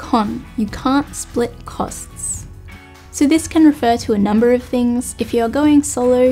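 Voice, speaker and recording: Behind a woman's speech, faint music can be heard in the background. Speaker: hiking channel host. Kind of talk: talk to camera, pros and cons list. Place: home room.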